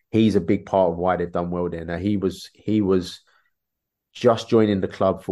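Over a quiet background, a man with a South London accent speaks at a moderate pace in a very deep, low, dark and mellow voice with flat, monotone intonation. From London, England (Peckham), Irish parents. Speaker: former professional footballer, now coach. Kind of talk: casual interview chat. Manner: repetitive, halting with fillers.

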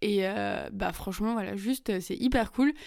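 At a fairly slow pace, a woman talks at a medium pitch in a very clean recording with a silent background. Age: 20s. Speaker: podcast host. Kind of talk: casual personal monologue. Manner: casual, many fillers and hesitations.

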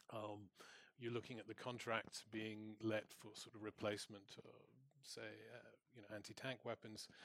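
Leaving long, frequent pauses, a man with a fairly low pitch speaks at a moderate pace in a monotone, flat intonation. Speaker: senior researcher on arms exports. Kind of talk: panel discussion. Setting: stage with audience.

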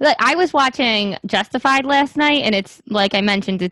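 With a New York accent, a woman talks at a moderate pace in a fairly high pitch. Her intonation is lively, and the sound is dry and close with no echo. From Staten Island, New York. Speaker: podcast co-host, speech-language pathologist. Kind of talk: casual chat. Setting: video call.

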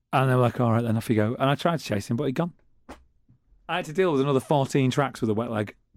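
A man with a Manchester accent talks at a very fast pace with ordinary pitch variation, in a very clean recording with a silent background. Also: medium pitch for a man. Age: 40s. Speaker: radio co-host and city magazine journalist. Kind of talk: casual chat.

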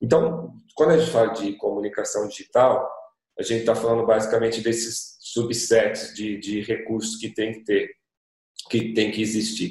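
A somewhat breathy man's voice at a medium pitch, with ordinary pitch variation and a moderate pace. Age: 40s. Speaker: digital agency association representative. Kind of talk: panel discussion.

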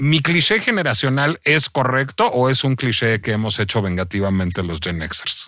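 A man talks at a moderate pace in a medium pitch with a bright, sharp tone, very wide pitch swings and hardly any pauses. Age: 40s. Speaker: podcast host. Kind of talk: casual chat.

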